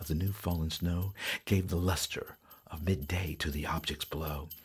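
Very deep and low in pitch, a man speaks at a fairly slow pace, somewhat breathy, with ordinary pitch variation. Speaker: storyteller and guitarist, podcast host. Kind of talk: reading aloud a classic Christmas poem, storybook-style narration. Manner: warm, cozy, rhythmic sing-song cadence with gentle animation; playful and jolly, with a hearty 'ho ho ho' at the close.

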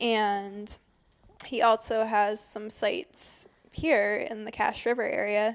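A very slow delivery with fairly even intonation, in an Upper Midwest accent. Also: woman, fairly high pitch for a woman. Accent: Upper Midwest American. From northern Michigan. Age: 20s. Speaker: birding guide and writer. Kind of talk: casual conversation. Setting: old church building.

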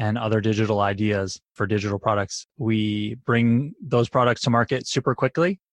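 Recorded as a dry, close sound with no echo over a quiet background, a man has an ordinary speaking voice with medium pitch and ordinary pitch variation. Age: 30s. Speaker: tech company founder and CEO. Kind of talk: interview.

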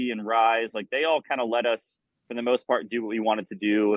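A man with an American accent and a plain, everyday voice speaks at a medium pitch and a fairly quick pace. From Florida, US South. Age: 30s. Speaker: rock band musician. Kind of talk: interview. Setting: video call.

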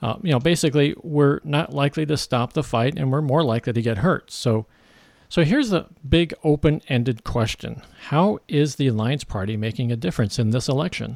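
Very clean with a silent background, the recording catches a man with a normal speaking voice and a medium pitch, talking at a fairly quick pace with ordinary pitch variation. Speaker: podcast host. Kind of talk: interview.

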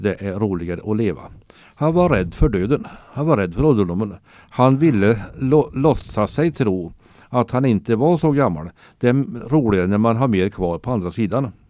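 A man's normal speaking voice at medium pitch, moderate pace and lively intonation, on a very clean recording with a silent background. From Sweden, Värmland (Torsby). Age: 60s. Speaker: retired cultural worker, storyteller. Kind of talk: interview, storytelling. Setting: radio studio.

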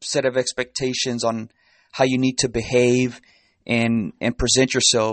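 A man with a Spanish accent talks at a moderate pace in a medium pitch, his intonation flat and monotone. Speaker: self-help podcast host. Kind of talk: solo motivational talk.

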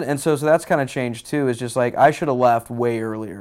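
In a very clean recording with a silent background, a man with an American accent speaks at a fairly quick pace, his dark, mellow voice at medium pitch with ordinary pitch variation. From Houston, Texas. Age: 30s. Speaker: musician. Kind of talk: interview. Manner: casual.

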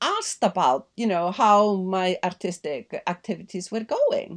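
On a very clean recording with a silent background, a woman talks fairly slowly. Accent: Icelandic. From Iceland. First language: Icelandic. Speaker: journalist and novelist. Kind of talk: interview.

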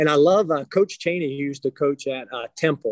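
A man with a plain, everyday voice talks at a fairly quick pace and a fairly high pitch with ordinary variation, the sound dry and close with no echo. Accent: American. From western Pennsylvania. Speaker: high school basketball coach. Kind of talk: interview.

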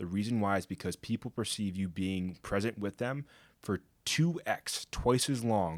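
A man with an American accent uses a plain, everyday voice at a fairly low pitch, with ordinary pitch variation. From Connecticut, US. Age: 20s. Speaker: former college football player. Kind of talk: interview.

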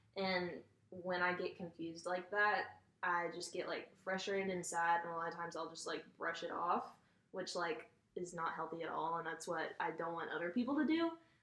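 There is audible room echo in this recording. A woman speaks in a fairly low voice. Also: fairly even intonation, moderate pace. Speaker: college student. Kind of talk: casual chat.

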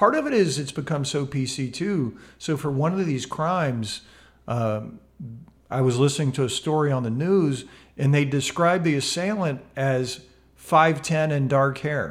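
With an unremarkable speaking voice, the man keeps a moderate pace, his fairly high pitch showing ordinary variation. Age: 50s. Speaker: mindfulness educator and podcast co-host. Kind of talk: casual chat. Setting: home studio.

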